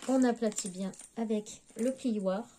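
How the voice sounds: A woman's fairly high pitch and dark, mellow tone, with ordinary pitch variation at a fairly slow pace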